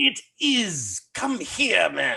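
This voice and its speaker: A quiet man in a put-on character voice. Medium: stage play. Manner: hushed and urgent.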